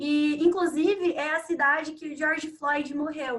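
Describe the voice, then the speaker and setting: A woman's bright, sharp, high-pitched voice with fairly even intonation. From Brazil, Sorocaba, São Paulo state. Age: 20s. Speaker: economics student. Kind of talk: webinar conversation.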